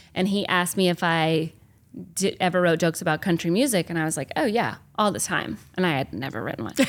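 A very fast-talking woman with an American accent, fairly low pitch, vocal fry and lively intonation, in a very clean recording against a silent background. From US South, small-town Georgia. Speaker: stand-up comedian. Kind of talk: casual interview chat. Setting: backstage at a comedy club.

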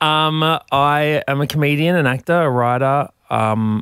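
This clip has a very clean recording and a silent background. The speaker is a man with an Australian accent. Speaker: comedian. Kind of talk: casual chat. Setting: studio.

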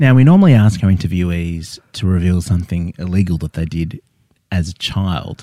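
A man's very deep, low voice with a dark, mellow tone and an Australian accent, at a fairly quick pace with ordinary pitch variation. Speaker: comedy podcast host. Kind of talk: comedic interview. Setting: studio.

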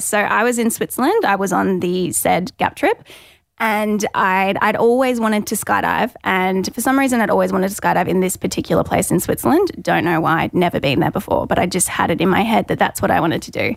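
A woman with an Australian accent talks at a fairly quick pace with hardly any pauses, at medium pitch with vocal fry and ordinary pitch variation. The recording is very clean, with a silent background. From Gold Coast, Australia. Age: 20s. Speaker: skydiving accident survivor with paraplegia. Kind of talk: casual interview.

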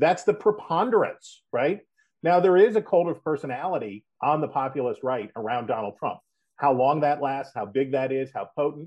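A normal speaking voice from a man with an American accent, fairly high in pitch, with lively intonation, a moderate pace, and a quiet background. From West Virginia. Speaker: political analyst. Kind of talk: interview. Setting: phone call.

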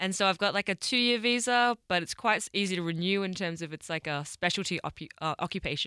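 Very clean, silent-background audio with a dry, close sound and no echo carries a woman's medium-pitched, bright, sharp voice, with ordinary pitch variation, a very fast pace and hardly any pauses. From Australia. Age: 20s. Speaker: world record holder. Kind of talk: interview conversation.

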